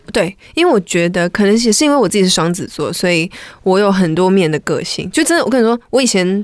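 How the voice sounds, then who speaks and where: This woman's intonation is lively. She delivers her words at a very fast pace. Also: medium pitch for a woman. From Malaysia. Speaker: R&B singer-songwriter. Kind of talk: casual interview chat.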